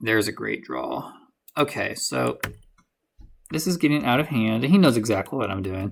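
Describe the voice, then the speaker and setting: Someone speaks at a moderate pace with long, frequent pauses in a very clean recording with a silent background. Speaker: gaming streamer. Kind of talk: gameplay commentary. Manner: energetic; hesitant, self-correcting.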